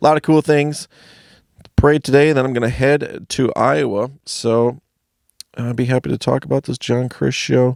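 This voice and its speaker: Mumbling at a moderate pace, a man with an American accent speaks with ordinary pitch variation in a dry, close sound with no echo. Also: very clean recording, silent background. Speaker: stand-up comedian. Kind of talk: casual video blog monologue. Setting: home basement studio.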